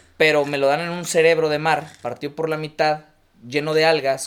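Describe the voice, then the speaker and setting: In a very clean recording with a silent background, a man speaks in a fairly high voice. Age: 30s. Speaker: restaurant and café owner. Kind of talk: casual chat.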